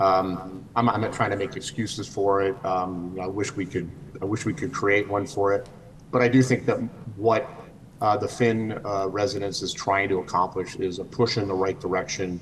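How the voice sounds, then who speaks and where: In a normal speaking voice, a man talks at a moderate pace with fairly low pitch and fairly even intonation. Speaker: architect presenting for applicant. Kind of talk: public meeting presentation. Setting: video call.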